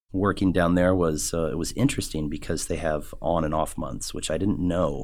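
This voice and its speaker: With an American accent, a man speaks at a moderate pace in a very deep, low voice with vocal fry, ordinary pitch variation and hardly any pauses. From Omaha, Nebraska (US Midwest). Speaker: chef and culinary instructor. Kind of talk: casual interview. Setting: studio. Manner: hesitant, many fillers.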